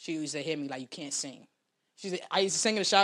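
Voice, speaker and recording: A very clean recording with a silent background, in a New York accent. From New York City, South Bronx. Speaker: rapper. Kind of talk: casual interview.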